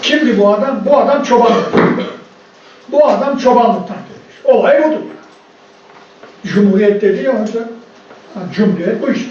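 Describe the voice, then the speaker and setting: A man's extremely high-pitched voice at a moderate pace, with ordinary pitch variation, long, frequent pauses, audible room echo and noticeable background noise. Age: 70s. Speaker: professor of Islamic studies. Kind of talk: conference lecture. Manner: animated.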